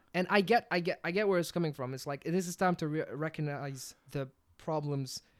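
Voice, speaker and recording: A man with a non-native accent, fairly high in pitch, animated in tone, fairly quick, with ordinary pitch variation. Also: very clean recording, silent background. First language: not English. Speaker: podcast co-host. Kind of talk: casual chat.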